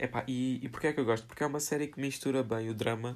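The speaker has a European Portuguese accent. Intonation stays fairly even. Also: man. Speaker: solo podcaster. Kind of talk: casual solo monologue. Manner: informal, filler-heavy.

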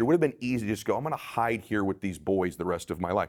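The man's intonation is lively as he talks. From Southern California. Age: 40s. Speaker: life strategist and entrepreneur. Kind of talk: interview.

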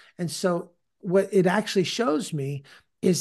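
High-pitched man with an American accent, ordinary pitch variation, quiet background. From California. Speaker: podcast host and disciple-making teacher. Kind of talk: casual interview conversation about faith.

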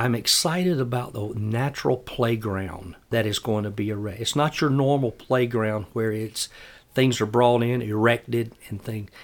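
A man with a South Carolina accent at a medium pitch and fairly slow pace, in a very clean recording with a silent background. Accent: Southern US (South Carolina). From US South, upstate South Carolina. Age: 60s. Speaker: city parks and recreation director. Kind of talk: casual interview.

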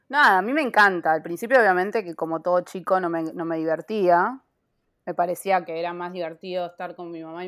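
Recorded very cleanly against a silent background, a woman talks at a fairly quick pace in an ordinary speaking voice. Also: big swings in loudness. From Buenos Aires, Argentina (Castelar). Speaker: photographer. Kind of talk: interview.

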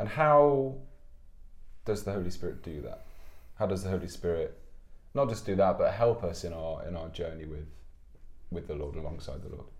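With long, frequent pauses, a man talks at a moderate pace in a very deep, low, somewhat breathy voice, his intonation lively and his loudness swinging widely. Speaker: podcast host. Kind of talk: casual chat.

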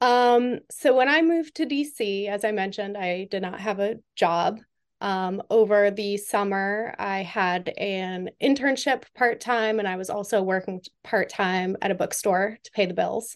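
A woman with an American accent, an ordinary speaking voice, medium pitch, ordinary pitch variation, fairly slow pace, quiet background. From Western Massachusetts. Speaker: government IT consultant. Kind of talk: interview.

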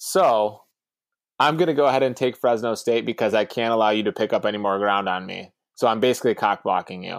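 A man with an American accent, speaking very fast with ordinary pitch variation, on a very clean recording with a silent background. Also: medium pitch for a man. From Ohio. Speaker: podcast co-host, pizza shop owner. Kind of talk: casual chat.

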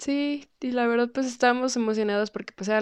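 With an unremarkable speaking voice, a woman talks at a fairly quick pace with ordinary pitch variation, the sound dry and close with no echo. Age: 20s. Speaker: rock guitarist and singer. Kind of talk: interview.

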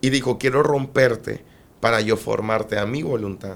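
This man speaks with ordinary pitch variation. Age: 20s. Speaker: evangelist preacher. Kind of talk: testimony. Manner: emphatic, preaching style even in conversation.

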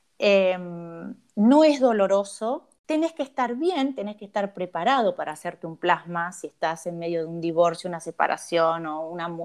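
A woman speaks with a plain, everyday voice at a fairly low pitch. Her intonation is lively and her pace moderate. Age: 50s. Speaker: cosmetologist. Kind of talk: interview.

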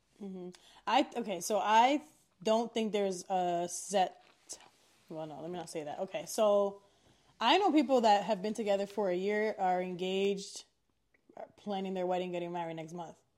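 At a medium pitch and moderate pace, a woman speaks with ordinary pitch variation, big swings in loudness, and long, frequent pauses. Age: 30s. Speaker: podcast co-host. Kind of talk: casual chat.

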